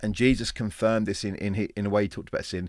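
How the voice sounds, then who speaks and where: A man speaks with an English accent. The recording is very clean and the background silent. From England. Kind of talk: informal teaching talk. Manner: halting, with repetitions.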